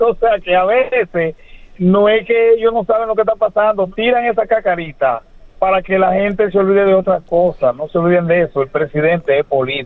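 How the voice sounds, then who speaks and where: Pitched high, a man talks at a fairly quick pace with ordinary pitch variation and very even loudness. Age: 70s. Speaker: caller. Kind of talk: call-in opinion. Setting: phone call.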